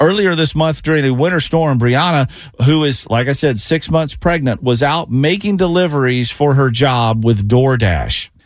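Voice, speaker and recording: A man's ordinary speaking voice, fairly high in pitch, with an American accent, lively intonation and a moderate pace. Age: 50s. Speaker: radio host. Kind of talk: radio DJ patter, bantering morning-show chat with co-hosts. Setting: studio.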